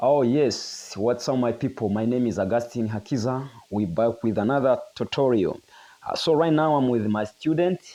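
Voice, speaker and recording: Over a quiet background, a man with a medium pitch and a dark, mellow tone speaks at a moderate pace with ordinary pitch variation and a non-native accent. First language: not English. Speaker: guitar teacher. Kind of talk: tutorial.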